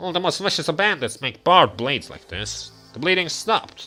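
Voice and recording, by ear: A man does a put-on character voice, high-pitched with lively intonation. He moves at a fairly quick pace over faint background music.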